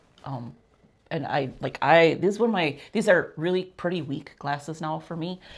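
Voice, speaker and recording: An unremarkable speaking voice at a moderate pace, with big swings in loudness, ordinary pitch variation and a very clean recording with a silent background. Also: woman, fairly low pitch for a woman. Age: 60s. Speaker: podcast co-host. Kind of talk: casual chat.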